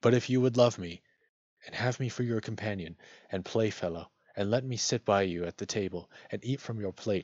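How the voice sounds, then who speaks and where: Using a put-on character voice, a man speaks at a fairly quick pace with a fairly low pitch. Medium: read story. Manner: courteous, persistent.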